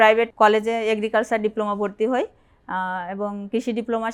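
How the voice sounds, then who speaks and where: Fairly high-pitched woman's voice, monotone and flat, in a very clean recording with a silent background. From Bangladesh, Jessore (southwest). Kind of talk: interview testimony.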